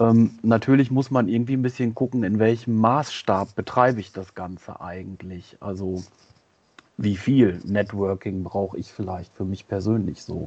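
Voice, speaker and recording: A man with a fairly low pitch and ordinary pitch variation speaks at a fairly slow pace, his loudness swinging widely. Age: 40s. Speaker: psychologist. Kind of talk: interview. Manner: halting.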